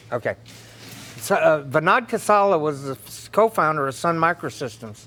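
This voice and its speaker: A man's bright, sharp voice, fairly high in pitch, with very wide pitch swings, a moderate pace and a Southern US accent. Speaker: political speaker. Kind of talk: lecture. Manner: loud.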